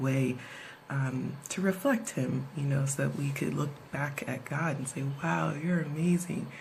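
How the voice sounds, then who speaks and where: A woman whispers at a moderate pace, with audible room echo around her. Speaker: video blogger. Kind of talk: casual vlog talk. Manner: whispering.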